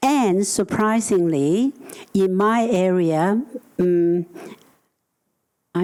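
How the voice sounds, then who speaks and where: With a Chinese accent, a woman speaks at a fairly low pitch with ordinary pitch variation. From Hong Kong. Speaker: housing advocate. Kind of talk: panel discussion. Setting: conference stage with audience.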